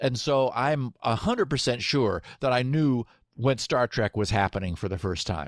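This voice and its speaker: In a General American accent, a man with a normal speaking voice talks with lively intonation, recorded very cleanly over a silent background with a dry, close sound and no echo. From Southern California. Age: 60s. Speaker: software engineer and podcaster. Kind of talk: podcast interview.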